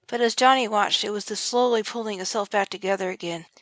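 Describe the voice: Text is read out plainly. Nothing more is added to the reading.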